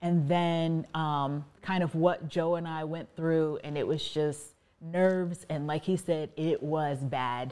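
A woman's very deep, low voice in an American accent, dark and mellow in tone, monotone and flat, at a very slow pace on a very clean recording with a silent background. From US, Virginia (Fairfax County). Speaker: married guest, mother. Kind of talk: casual interview conversation.

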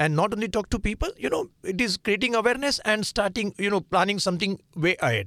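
A man with a Marathi accent, high in pitch and bright, sharp in tone, at a very fast pace with hardly any pauses, ordinary pitch variation and very even loudness, in a very clean recording with a silent background and a dry, close sound with no echo. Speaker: nonprofit founder. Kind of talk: radio interview. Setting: studio.

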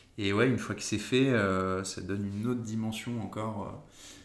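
The delivery is monotone and flat, with audible room echo around it. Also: man. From northern France, Dunkirk. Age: 30s. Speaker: entrepreneur. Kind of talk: casual interview chat.

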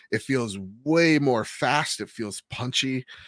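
Here a man has an unremarkable speaking voice at a medium pitch, with lively intonation. The recording is very clean with a silent background and a dry, close sound with no echo. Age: 30s. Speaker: podcast host. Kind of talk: casual chat.

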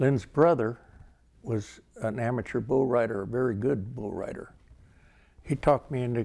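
A man with an American accent speaks at a medium pitch in a dark, mellow tone. His intonation stays fairly even at a moderate pace. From Livermore, California. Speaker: rodeo volunteer and former cowboy. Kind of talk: oral history interview.

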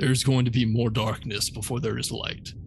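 A man speaks at a medium pitch with fairly even intonation. Noticeable background noise runs behind him. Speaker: tabletop game player. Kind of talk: casual tabletop gaming chat.

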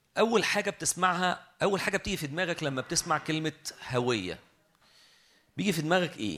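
Pitched high for a man, his voice has a bright, sharp tone and moves at a fairly quick pace. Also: lively intonation. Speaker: preacher. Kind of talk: sermon.

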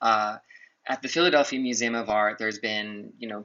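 A man has a normal speaking voice at medium pitch. He talks at a moderate pace with fairly even intonation. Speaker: journalist. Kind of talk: interview.

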